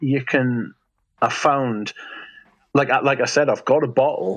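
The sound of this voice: Speaking with a Geordie accent, a man uses a fairly high pitch and fairly even intonation. His pace is fairly slow and his loudness stays very even.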